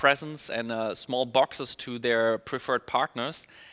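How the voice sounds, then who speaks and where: At medium pitch and a moderate pace, a man with a German accent speaks in a bright, sharp tone, recorded dry and close with no echo. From Germany. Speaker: email marketing specialist. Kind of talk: webinar presentation. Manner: upbeat.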